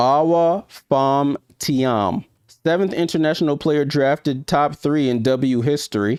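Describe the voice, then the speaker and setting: A man with a New York accent talks at a fairly high pitch and fairly slow pace, with ordinary pitch variation and very even loudness. The sound is dry and close with no echo, on a very clean recording with a silent background. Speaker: sports YouTuber. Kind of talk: live stream watchalong commentary. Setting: live stream. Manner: casual, conversational.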